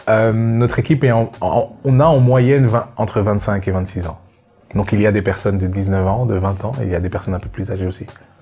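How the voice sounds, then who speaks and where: Over music in the background, a man talks at a fairly quick pace and a fairly low pitch with ordinary pitch variation. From Belgium. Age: 20s. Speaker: young entrepreneur. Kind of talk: testimony. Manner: halting.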